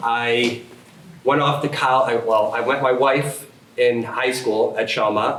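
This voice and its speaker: Audible room echo surrounds a man with an American accent who speaks at a medium pitch and a fairly slow pace. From upstate New York, Schenectady County. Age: 30s. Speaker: political candidate. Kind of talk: candidate forum speech. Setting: public forum room, no microphones. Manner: loud.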